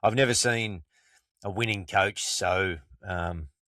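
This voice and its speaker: Recorded very clean and dry, close with no echo and a silent background, a man speaks at a very deep, low pitch with a bright, sharp tone and ordinary pitch variation. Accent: Australian. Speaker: podcast co-host. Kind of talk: casual chat.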